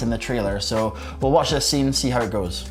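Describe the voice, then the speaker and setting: Noticeable background noise runs behind this recording. A man speaks at a very fast pace. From Scotland. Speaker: self-development speaker, magician. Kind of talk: casual talk to camera.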